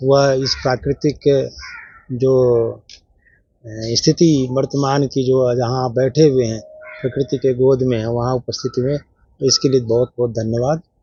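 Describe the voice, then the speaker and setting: Long, frequent pauses break up a man's flat, monotone delivery. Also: medium pitch for a man. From Bihar, India (Vaishali). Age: 60s. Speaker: party convener and school founder. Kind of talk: press conference.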